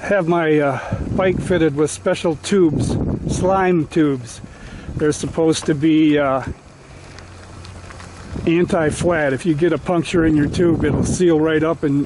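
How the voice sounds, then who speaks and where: Fairly slow delivery broken by long, frequent pauses, dry with no echo, over noticeable background noise. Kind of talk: casual vlog narration. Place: open country. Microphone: camera far.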